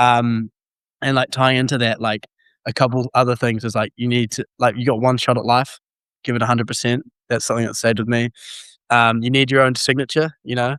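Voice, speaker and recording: On a very clean, dry and close recording with a silent background and no echo, a man with a New Zealand accent talks at a fairly quick pace in a medium pitch with monotone, flat intonation. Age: 20s. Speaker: university student. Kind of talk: testimony.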